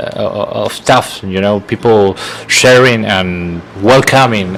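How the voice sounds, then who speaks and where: A man speaks at a fairly low pitch with a Spanish accent, keeping his intonation fairly even. There is noticeable background noise. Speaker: podcast host. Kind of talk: interview. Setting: live stream video call.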